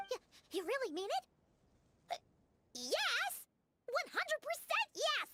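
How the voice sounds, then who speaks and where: Using a put-on character voice, a woman squeaks at an extremely high pitch with very wide pitch swings, an excited tone, a fairly slow pace, and long, frequent pauses. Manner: excited, eager.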